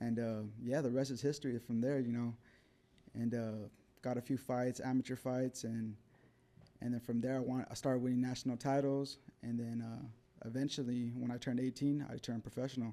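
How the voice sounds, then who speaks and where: Talking at a fairly quick pace yet with long, frequent pauses, a man with a dark, mellow tone and medium pitch speaks in a monotone, flat intonation. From New Mexico (Albuquerque). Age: 30s. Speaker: professional boxer. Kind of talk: casual interview. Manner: relaxed, with many fillers.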